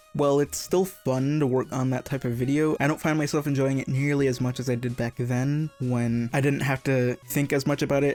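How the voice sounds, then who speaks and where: Music plays in the background as a man talks at a fairly quick pace. His intonation is monotone and flat, his loudness very even. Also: fairly high pitch for a man. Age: 20s. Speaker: YouTube gaming creator. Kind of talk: casual monologue. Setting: home recording booth.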